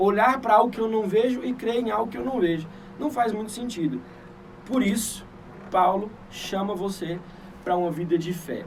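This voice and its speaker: A man with a high pitch speaks with long, frequent pauses amid noticeable background noise and audible room echo. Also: ordinary pitch variation, moderate pace. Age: 20s. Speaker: church leader, preacher. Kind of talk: sermon on a livestream. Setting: livestream. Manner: hesitant, many fillers and repetitions.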